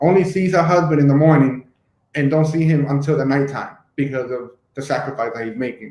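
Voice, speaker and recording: A fairly high-pitched man with an unremarkable speaking voice, at a fairly quick pace and with ordinary pitch variation. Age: 30s. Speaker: YouTube host. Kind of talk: casual discussion.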